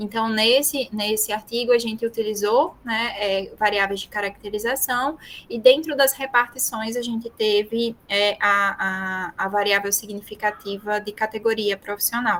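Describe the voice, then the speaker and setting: At a fairly slow pace and with hardly any pauses, a woman speaks in an unremarkable speaking voice, fairly high in pitch with fairly even intonation. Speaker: university professor and research methods speaker. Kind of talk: online lecture.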